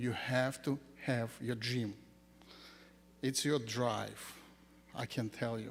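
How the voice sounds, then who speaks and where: A man at medium pitch talks at a very slow pace with a non-native accent. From Ukraine. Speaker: school founder. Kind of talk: ceremony speech. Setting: graduation ceremony with audience.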